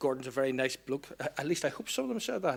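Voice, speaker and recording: This man has a Northern Irish accent and a fairly high pitch. He talks at a fairly quick pace. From Northern Ireland, Belfast/Lisburn. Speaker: public sector procurement speaker. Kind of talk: conference talk.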